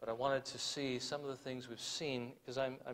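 A fairly quick pace from a male talker. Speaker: preacher. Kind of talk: sermon.

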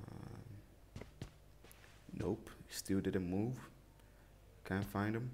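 Very slowly and with long, frequent pauses, a man talks in a fairly low register marked by vocal fry. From Nigeria. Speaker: mobile game streamer. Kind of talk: gameplay commentary. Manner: casual, excitable.

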